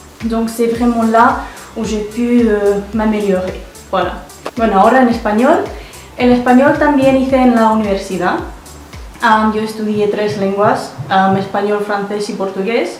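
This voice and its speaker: With music in the background and audible room echo, a woman with a fairly high voice talks at a moderate pace. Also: ordinary pitch variation. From Russia (Yekaterinburg), then Wales from age 8. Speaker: language learner, polyglot. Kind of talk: casual monologue showing off languages. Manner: hesitant, with many fillers.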